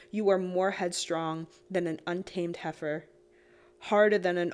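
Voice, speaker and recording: A woman speaks at a fairly slow pace with fairly even intonation. Hers is a plain, everyday voice. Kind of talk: ASMR bedtime story reading. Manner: soft, calm, intimate.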